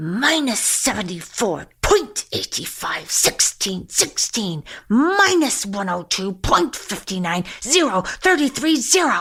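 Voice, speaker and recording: Putting on a character voice, a woman with a fairly high pitch and very wide pitch swings speaks at a fairly slow pace with hardly any pauses. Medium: read story. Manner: mutters number sequences.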